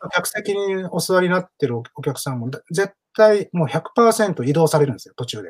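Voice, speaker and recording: A man with a high pitch speaks with big swings in loudness. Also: moderate pace. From Osaka, partly raised in Hong Kong. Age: 40s. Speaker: playwright and theatre director. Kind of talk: casual interview talk.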